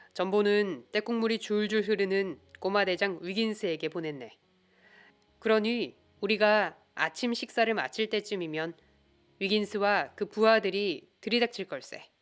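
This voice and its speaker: At a fairly slow pace, a woman speaks in a calm, soothing tone at medium pitch, with ordinary pitch variation and music in the background. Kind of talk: audiobook reading of a detective novel.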